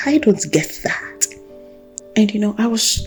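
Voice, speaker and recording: Music plays in the background as a woman speaks at medium pitch. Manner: earnest, exhortational.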